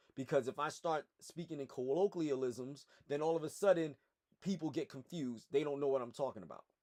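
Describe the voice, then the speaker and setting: With an American accent, a man talks at a fairly quick pace in a dark, mellow tone, his pitch fairly high with ordinary variation, and the sound is dry and close with no echo. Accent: slight accent, educated tone in this setting. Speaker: personal trainer and PE teacher. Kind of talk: educational commentary vlog. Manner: articulate, formal.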